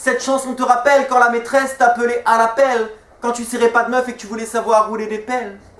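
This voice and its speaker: Noticeable background noise sits behind a man with an extremely high pitch. He talks at a fairly quick pace in a monotone, flat intonation. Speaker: slam poet. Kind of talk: slam poetry performance. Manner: rhythmic, flowing.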